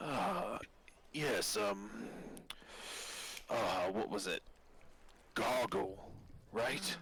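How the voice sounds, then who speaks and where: A man uses a raspy, put-on character voice at a medium pitch. He goes very slowly with long, frequent pauses over clear background noise. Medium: actual play. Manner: polite, measured.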